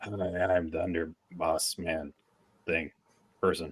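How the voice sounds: In a put-on character voice, a man growls at a very deep, low pitch, fairly slow and with monotone, flat intonation.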